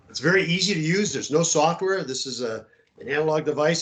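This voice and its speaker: Speech from a man rushes by at a very fast pace. The pitch shifts in an ordinary way. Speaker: semiconductor company presenter. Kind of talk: webinar presentation. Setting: video call screen share. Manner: halting, many fillers.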